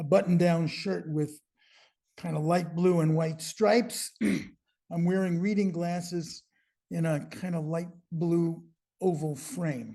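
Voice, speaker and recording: A man speaks at a very slow pace in a high voice. His tone is dark and mellow, with ordinary pitch variation. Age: 80s+. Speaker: poet and blues saxophonist. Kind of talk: poetry reading preamble. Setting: video call.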